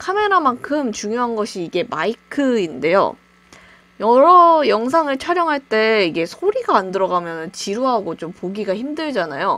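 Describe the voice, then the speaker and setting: Her pitch fairly high and swinging very widely, a woman with a bright, sharp tone speaks at a moderate pace. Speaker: YouTuber, gaming channel. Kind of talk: tutorial. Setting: home recording with webcam. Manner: casual, conversational.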